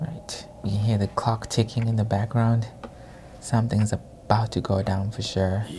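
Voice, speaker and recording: In a non-native accent, the speaker talks at a moderate pace. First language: not English. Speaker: anime reaction youtuber. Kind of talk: casual reaction commentary.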